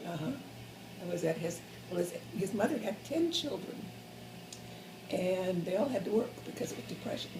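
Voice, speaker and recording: Over noticeable background noise, a woman with a medium pitch and lively intonation talks at a fairly quick pace, leaving long, frequent pauses. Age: 80s+. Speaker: former animation ink and paint artist. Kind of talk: interview answer.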